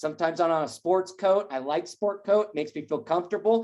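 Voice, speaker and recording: A woman's medium-pitched voice at a fairly quick pace. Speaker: real estate coach. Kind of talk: training session. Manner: fast.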